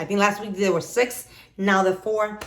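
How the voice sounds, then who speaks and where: Using a non-native accent, a woman talks in an animated tone. Her pitch is medium and her pace moderate. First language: not English. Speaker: YouTuber, mother. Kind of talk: haul video, casual chat. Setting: home office.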